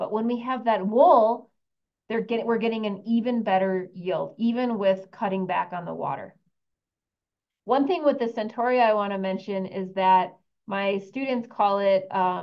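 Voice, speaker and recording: A woman talks in a normal speaking voice at a medium pitch. Her pace is moderate and her pitch varies in an ordinary way. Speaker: university researcher presenting a study. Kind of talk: webinar presentation.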